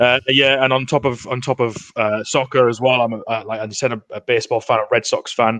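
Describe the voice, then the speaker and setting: A man speaks at a fairly quick pace with hardly any pauses, in a monotone with flat intonation. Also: medium pitch for a man. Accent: Geordie. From northeast England, Newcastle. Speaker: NFL podcast guest, sports fan. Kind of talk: casual chat. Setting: podcast recording.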